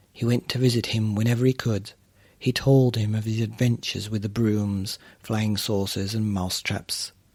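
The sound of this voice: The speaker uses an unforced reading voice with fairly even intonation.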